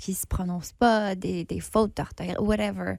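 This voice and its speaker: Her voice is somewhat breathy, with a dark, mellow tone and a medium pitch for a woman. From northern Ontario, Canada. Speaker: actor and playwright, festival judge. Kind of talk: podcast interview.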